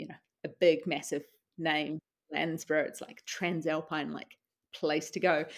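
A woman with a New Zealand accent speaks at a moderate pace on a very clean recording with a silent background. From New Zealand, Wellington. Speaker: doctor and adventurer. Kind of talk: interview. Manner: casual, hesitant with fillers.

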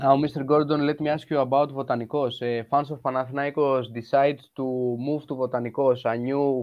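A man with a Greek accent, medium-pitched, at a fairly slow pace in a monotone, flat delivery. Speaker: football podcast host. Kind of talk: interview.

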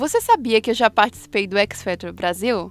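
A woman with an ordinary speaking voice talks at a fairly quick pace with lively intonation. The recording is very clean with a silent background, and the sound is dry and close with no echo. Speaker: podcast host and singer. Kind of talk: casual chat.

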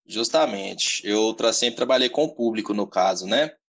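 A man is speaking here. His voice has vocal fry. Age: 20s. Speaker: personal trainer. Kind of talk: interview.

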